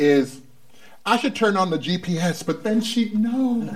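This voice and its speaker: A man's speech comes with noticeable background noise behind it. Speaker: talk show host. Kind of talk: comedy talk show hosting, banter. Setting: studio with live audience. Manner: animated, joking.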